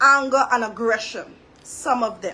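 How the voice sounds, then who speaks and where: A woman with a Trinidadian accent uses a raised, projected voice at a high pitch and a fairly slow pace. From Trinidad and Tobago. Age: 40s. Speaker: social commentary vlogger. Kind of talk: monologue commentary. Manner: halting.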